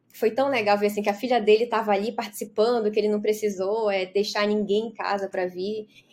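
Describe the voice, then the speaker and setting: In a fairly high voice, a woman speaks at a very fast pace with hardly any pauses and a monotone, flat intonation. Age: 40s. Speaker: business mentor. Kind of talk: casual interview.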